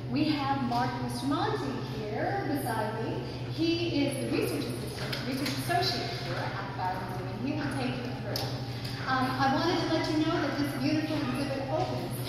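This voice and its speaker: With strong room echo and noticeable background noise, a woman talks at a moderate pace. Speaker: museum staff host. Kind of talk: welcome address at an exhibit preview. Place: hall. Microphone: camera far.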